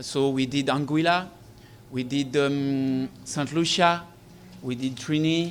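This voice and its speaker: With a French Caribbean accent, the speaker goes at a very slow pace with fairly even intonation and long, frequent pauses. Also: man, fairly high pitch for a man. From Guadeloupe. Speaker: air ambulance company representative. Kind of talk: press briefing speech. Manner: halting.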